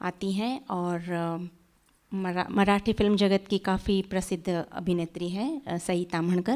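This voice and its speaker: A woman talks with a Gujarati accent and ordinary pitch variation. The recording is very clean, with a silent background. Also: medium pitch for a woman. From India, Sangli, Maharashtra. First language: Gujarati (speaking Hindi). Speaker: author. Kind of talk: interview on stage.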